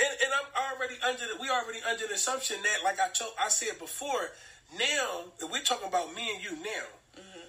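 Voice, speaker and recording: A man's raised, projected voice with an animated tone, extremely high pitch, very wide pitch swings and big swings in loudness, at a fairly quick pace. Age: 30s. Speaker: podcast co-host. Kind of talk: casual chat.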